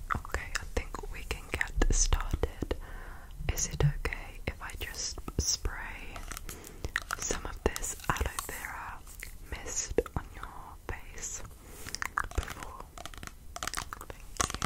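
A woman whispers at a very slow pace, stopping often for long pauses. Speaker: ASMR creator. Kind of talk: ASMR whispering. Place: home room. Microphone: studio mic.

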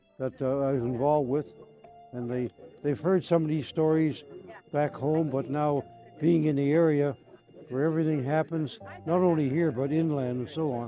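Faint music plays in the background of this dry recording with no echo. A man with a Canadian accent speaks at a moderate pace in a fairly high pitch, varying it in an ordinary way. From Canada. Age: 80s+. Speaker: war veteran. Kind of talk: interview. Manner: halting. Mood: reflective, warm. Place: open country.

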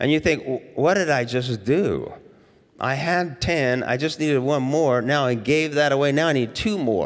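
In a plain, everyday voice, a man speaks at a moderate pace with very even loudness against a quiet background. His pitch is fairly high, with ordinary variation. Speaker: pastor. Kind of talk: sermon. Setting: church. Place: church. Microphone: handheld.

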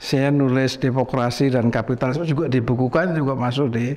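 At a moderate pace, a man speaks at a medium pitch with very even loudness. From Central Java, Indonesia (Sragen); Central Java, Indonesia. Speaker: professor and painter; professor. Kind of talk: casual interview. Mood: relaxed, storytelling. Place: studio. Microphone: lapel.

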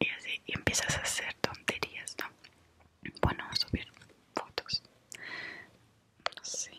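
A woman whispers. Her pace is fairly slow. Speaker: vlogger. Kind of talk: casual vlog chat. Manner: soft, close ASMR murmur. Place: home room. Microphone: webcam.

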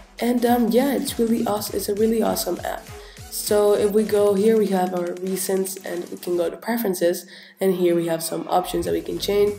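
Over music in the background, a woman talks at a medium pitch and a fairly quick pace, with ordinary pitch variation. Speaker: tech tutorial YouTuber. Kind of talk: casual screen-recording tutorial. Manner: casual, hesitant with fillers.

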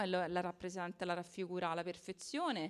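In a quiet background, a woman talks at a moderate pace in a fairly low pitch. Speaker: municipal culture councillor. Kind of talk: speech at book presentation. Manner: halting, hesitant. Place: hall. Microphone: handheld.

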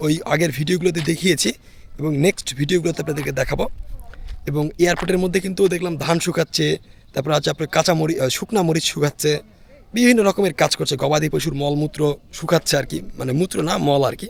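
The sound is dry and close, with no echo. A man talks at a fairly high pitch with ordinary pitch variation. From Bangladesh, Naogaon. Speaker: travel vlogger. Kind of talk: vlog narration and street chat. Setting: outdoors. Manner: animated.

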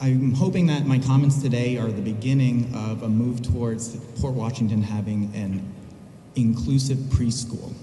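With light background noise and audible room echo, a man speaks in fairly even intonation. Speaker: parent giving public comment. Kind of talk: public comment statement. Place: hall. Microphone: podium.

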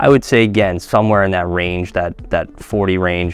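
A man talks at a moderate pace in a very deep, low pitch with fairly even intonation. The sound is dry with no echo, and faint music plays in the background. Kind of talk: interview answer. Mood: relaxed, friendly. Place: office. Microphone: lapel.

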